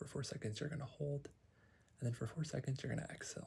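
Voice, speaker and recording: The man is soft-spoken, with a calm tone. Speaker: psychologist (roleplay). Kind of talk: ASMR therapy roleplay, guided breathing. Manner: soft-spoken, calm, reassuring.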